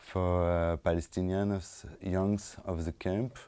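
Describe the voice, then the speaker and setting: In a French accent, a man speaks at a fairly slow pace with a very deep, low pitch and a dark, mellow tone. His intonation is fairly even, and the recording is very clean with a silent background. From France, suburbs of Lyon. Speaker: documentary film director. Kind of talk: post-screening talk, Q&A. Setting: stage with audience after film screening. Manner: halting, many fillers and repetitions.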